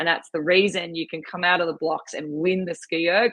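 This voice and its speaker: A woman talks at a fairly quick pace with an Australian accent. Her pitch is fairly low. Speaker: rowing and ski erg coach. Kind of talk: podcast interview, casual chat. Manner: animated.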